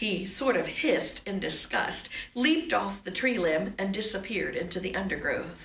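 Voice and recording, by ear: The text is read aloud in a natural voice.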